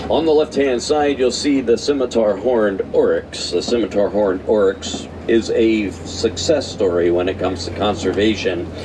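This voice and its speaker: A man's fairly low voice, animated in tone, at a moderate pace over noticeable background noise. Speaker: safari ride tour guide. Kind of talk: live guided tour narration. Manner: animated, addressing riders.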